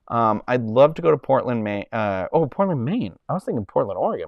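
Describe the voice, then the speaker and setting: Speaking at a fairly quick pace, a man with an American accent uses lively intonation and a medium pitch. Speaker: live streamer. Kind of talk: casual chat. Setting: live stream.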